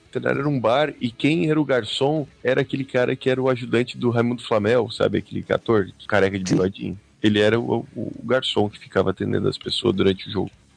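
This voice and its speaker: Hardly pausing, a man with vocal fry speaks at a very fast pace. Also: medium pitch for a man, ordinary pitch variation. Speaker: podcast co-host. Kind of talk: casual chat.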